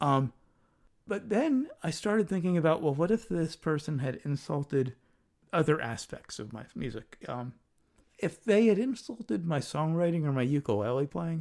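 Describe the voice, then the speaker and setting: A soft-spoken man at a moderate pace, fairly high-pitched for a man, with very wide pitch swings, in a very clean recording against a silent background. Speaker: podcast host and musician. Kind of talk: casual chat. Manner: hesitant, many ums.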